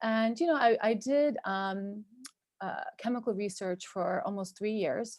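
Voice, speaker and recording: A woman with a Turkish accent speaks at a fairly slow pace in a fairly high pitch. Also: ordinary pitch variation. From US, New York and New Jersey. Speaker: cosmetic chemist and entrepreneur. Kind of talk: podcast interview.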